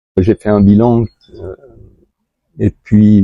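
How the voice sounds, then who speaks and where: Very slowly, a man speaks in a fairly low pitch. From France. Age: 70s. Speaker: patient, shiatsu practitioner. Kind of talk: testimony interview. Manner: halting, many hesitations.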